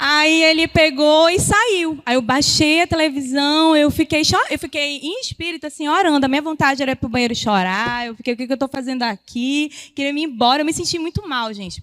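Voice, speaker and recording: Loud and high-pitched, a woman speaks at a fairly quick pace with hardly any pauses and ordinary pitch variation, the sound dry and close with no echo. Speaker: women's ministry speaker. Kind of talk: sermon. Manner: fast.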